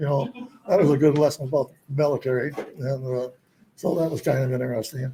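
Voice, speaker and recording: A man's fairly high, somewhat breathy voice with a dark, mellow tone, a very fast pace and long, frequent pauses. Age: 80s+. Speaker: retired scientist. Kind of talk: interview answer.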